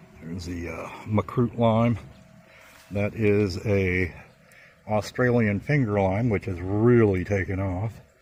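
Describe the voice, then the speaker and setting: Speaking very slowly, a man leaves long, frequent pauses. His pitch is fairly low and his intonation fairly even. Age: 60s. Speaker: plant grower. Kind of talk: casual video tour. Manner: casual, many fillers.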